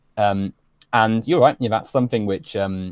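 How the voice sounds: With a low pitch and a slightly mellow tone, a man speaks at a fairly quick pace in fairly even intonation.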